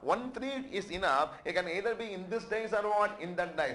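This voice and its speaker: High-pitched and swinging widely in pitch, a man speaks with audible room echo. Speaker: accountancy lecturer. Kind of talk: lecture. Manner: repetitive call-and-response questioning.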